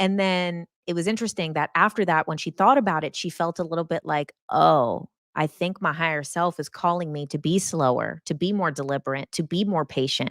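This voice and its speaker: Speaking with an animated tone, a woman talks at a fairly quick pace with hardly any pauses, fairly low pitch and ordinary pitch variation, in a very clean, dry, close recording with no echo and a silent background. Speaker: hypnotist and spiritual coach. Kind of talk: live stream chat reading comments. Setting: live stream. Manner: fast.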